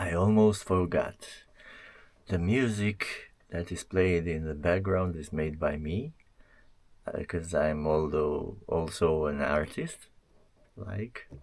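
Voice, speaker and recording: Speaking in a Romanian accent, a man has a very deep, low pitch with ordinary variation. His pace is very slow. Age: 40s. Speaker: motovlogger. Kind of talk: unboxing vlog. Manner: halting.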